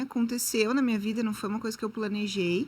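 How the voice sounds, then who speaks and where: A woman's voice comes through in a bright, sharp tone. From southern Brazil, Rio Grande do Sul. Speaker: marketing entrepreneur. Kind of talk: interview podcast.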